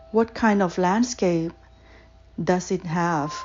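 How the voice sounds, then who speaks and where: In a calm tone, a woman with a medium pitch speaks very slowly against noticeable background noise. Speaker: guided meditation / visualization guide. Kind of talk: guided meditation. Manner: slow, calm, soft-spoken with long pauses.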